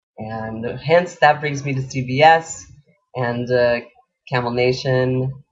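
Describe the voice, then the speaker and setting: Somewhat breathy and fairly high, a man's voice moves at a fairly slow pace. His intonation stays fairly even. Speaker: radio host. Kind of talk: personal bio talk.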